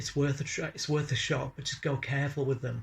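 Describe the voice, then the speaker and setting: Here a man speaks slowly, at a fairly slow pace, in a fairly high, somewhat breathy voice. His intonation is monotone and flat. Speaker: chronic pain patient vlogger. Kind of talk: personal vlog.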